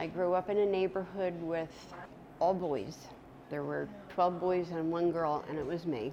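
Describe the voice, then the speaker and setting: A woman with a normal speaking voice talks in a fairly low pitch with fairly even intonation. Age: 60s. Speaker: retiree. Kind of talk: personal testimony interview.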